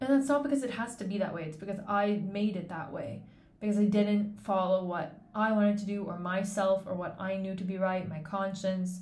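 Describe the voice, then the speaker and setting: Somewhat breathy speech moves at a fairly quick pace with hardly any pauses, showing ordinary pitch variation against audible room echo. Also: woman, medium pitch for a woman. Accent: Canadian. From Canada. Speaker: podcast host. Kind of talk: casual monologue. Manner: conversational, unscripted.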